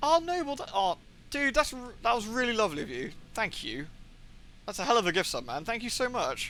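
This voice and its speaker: Raised and projected, a man's bright, sharp voice with a British accent runs at a fairly quick pace, its extremely high pitch swinging very widely. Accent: British accent found weird by Americans. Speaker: video game streamer. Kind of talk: casual chat. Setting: live stream. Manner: fast.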